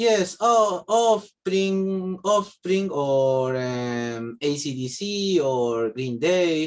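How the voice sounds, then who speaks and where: A man with a Spanish accent, high-pitched, his pitch swinging very widely. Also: hardly any pauses. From Argentina. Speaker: English language student. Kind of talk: language class speaking practice. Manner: halting, many fillers and repetitions.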